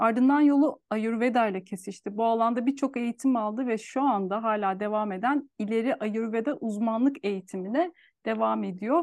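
Over a quiet background, a woman with an ordinary speaking voice talks at a fairly quick pace in a fairly high pitch, her intonation lively and the sound dry and close with no echo. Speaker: podcast host. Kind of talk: interview conversation. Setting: video call.

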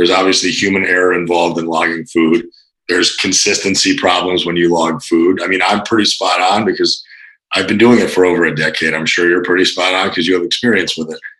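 A man with a very deep, low voice talks at a fairly quick pace with ordinary pitch variation. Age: 30s. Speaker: fitness coach. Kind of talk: casual chat.

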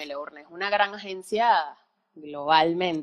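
A woman with an ordinary speaking voice talks at a moderate pace with ordinary pitch variation. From Venezuela, Valencia. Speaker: film production company co-owner, musician. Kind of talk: casual interview chat. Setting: live stream.

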